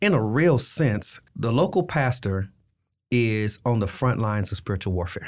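In a very clean recording with a silent background, a man with a plain, everyday voice talks at a moderate pace and medium pitch with lively intonation. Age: 50s. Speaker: pastor. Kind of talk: interview. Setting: studio.

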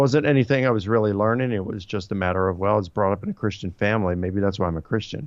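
A man talks in a Baltimore accent. His pitch is fairly low. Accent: American, Baltimore. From US, Baltimore. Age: 50s. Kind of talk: interview about history and theology.

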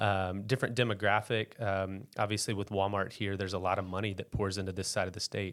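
In an American accent, a man with a fairly low pitch speaks at a very fast pace with monotone, flat intonation. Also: very clean recording, silent background. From US South, eastern Arkansas Delta (West Memphis). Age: 30s. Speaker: pastor. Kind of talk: testimony.

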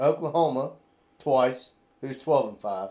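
A man speaks at a medium pitch in a dark, mellow tone. His pitch shifts in an ordinary way. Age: 40s. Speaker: podcast co-host. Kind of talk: casual chat.

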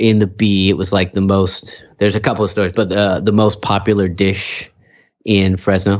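A man with an ordinary speaking voice and an American accent, fairly low in pitch, at a moderate pace against a quiet background. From California Central Valley, Kingsburg. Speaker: podcast host. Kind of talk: casual chat.

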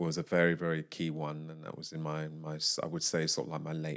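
In a British accent, a man with a very deep, low pitch talks at a fairly quick pace, his intonation monotone and flat. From UK. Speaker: jazz vocalist and composer. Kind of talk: casual interview chat. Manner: halting.

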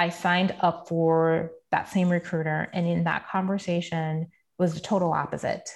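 A woman speaks in a fairly low pitch with an American accent. Her pace is fairly slow. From US Virgin Islands (Saint Thomas). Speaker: professional sharing career story. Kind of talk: interview conversation. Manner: casual with fillers.

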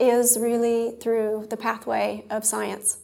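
A woman's fairly high voice with an American accent, very slow in pace, with fairly even intonation. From US South, rural southern Mississippi. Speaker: health policy expert. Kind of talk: live panel interview. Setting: conference stage with audience.

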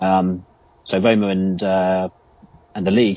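Here a man speaks in a southern English accent. His very deep, low voice stays monotone and flat. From England. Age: 30s. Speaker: football fan. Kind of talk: casual chat.

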